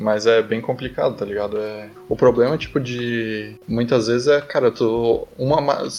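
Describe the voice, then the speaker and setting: Over noticeable background noise, a man speaks at a fairly slow pace with fairly even intonation and hardly any pauses. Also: medium pitch for a man. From southern Brazil. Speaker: engineering student. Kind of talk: casual chat. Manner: casual, filler-heavy speech.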